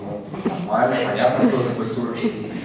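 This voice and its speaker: A man talks at a fairly quick pace, with strong room echo and light background noise. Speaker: exhibition volunteer. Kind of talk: public talk. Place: hall.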